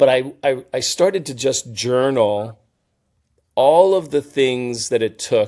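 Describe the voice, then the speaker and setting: Very slowly, a man talks at a medium pitch in a dark, mellow tone, his loudness swinging widely. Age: 60s. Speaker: company CEO and former actor. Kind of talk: interview. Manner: halting, many repeated words and fillers.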